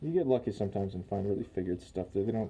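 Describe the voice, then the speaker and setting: Very fast in pace, a man's fairly low voice comes across somewhat breathy with a dark, mellow tone. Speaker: guitar builder, DIY woodworking channel host. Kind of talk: tutorial. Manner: halting with many fillers.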